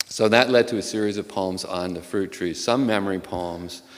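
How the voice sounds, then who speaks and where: There's audible room echo around a man whose very deep, low voice moves at a moderate pace with ordinary pitch variation. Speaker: poet. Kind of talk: informal introduction to poems; poetry reading. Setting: auditorium stage with audience.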